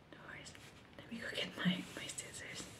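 Over loud background noise, a soft-spoken woman whispers at a moderate pace. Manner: soft ASMR whisper, close to mic. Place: home room. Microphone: phone near.

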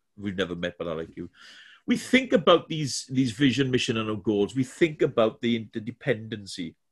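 Against a quiet background, a man with a Welsh accent talks at a fairly quick pace, his intonation lively and his voice somewhat breathy. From Wales. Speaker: corporate trainer. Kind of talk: webinar presentation. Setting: video call from home. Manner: halting, many fillers and repetitions. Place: home room.

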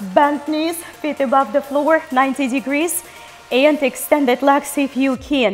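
Faint music plays behind a woman whose high voice moves at a fairly slow pace. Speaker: fitness instructor. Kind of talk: workout instruction and counting. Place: studio.

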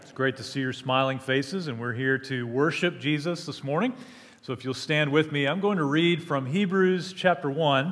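A man speaks with big swings in loudness. His pitch varies in an ordinary way. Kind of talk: call to worship, scripture reading and prayer. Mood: warm, reverent. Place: church. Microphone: headset.

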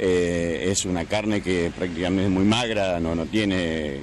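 Light background noise sits under a man's very deep, low-pitched voice, recorded with a dry sound and no echo. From Argentina. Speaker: interviewee on the street; interviewee. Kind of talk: street interview. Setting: outdoors. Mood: calm, content. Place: street. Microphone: handheld.

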